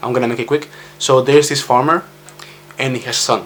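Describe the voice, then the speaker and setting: A man with a Spanish accent at medium pitch and a very fast pace. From Spain. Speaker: vlogger. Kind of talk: personal vlog monologue. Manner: halting.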